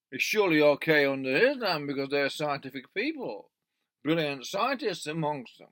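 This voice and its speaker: A man talks at a moderate pace and fairly high pitch in an Australian accent. His intonation is lively, and his loudness swings widely. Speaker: video commentator. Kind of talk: opinion monologue. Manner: halting, with false starts.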